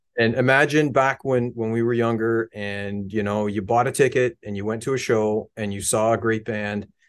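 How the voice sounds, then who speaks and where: A man with an unremarkable speaking voice in a Canadian accent, moderate pace, fairly even intonation and hardly any pauses, against a quiet background. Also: medium pitch for a man. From Canada, Hamilton, Ontario. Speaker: musician and model builder. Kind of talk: casual chat.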